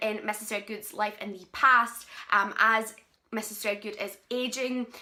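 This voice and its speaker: The speaker has a Scottish accent and a bright, sharp tone. The pace is moderate. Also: woman. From Scotland. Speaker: book reviewer. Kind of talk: book review vlog. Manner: casual, with filler ums.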